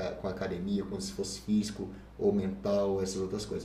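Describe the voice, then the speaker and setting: At a moderate pace, a man in a normal speaking voice talks at a fairly low pitch with ordinary pitch variation. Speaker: fitness coach. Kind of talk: casual chat.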